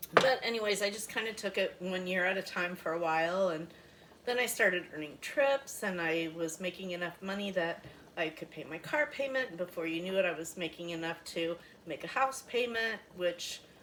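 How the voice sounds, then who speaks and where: A woman's medium-pitched voice, lively intonation and a moderate pace over noticeable background noise. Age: 60s. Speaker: cooking product consultant. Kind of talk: cooking demonstration chat. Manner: casual, hesitant with fillers.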